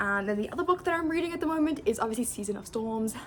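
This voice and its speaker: A woman's fairly high voice at a very fast pace, with very wide pitch swings and noticeable background noise. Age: 20s. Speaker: book vlogger. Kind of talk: casual vlog chat. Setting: at home alone. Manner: chatty, informal.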